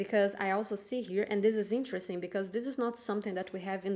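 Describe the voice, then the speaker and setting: A woman speaks with a non-native accent in a dark, mellow tone. Her medium pitch stays fairly even. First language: not English. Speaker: tarot reader. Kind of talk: tarot reading monologue. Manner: halting.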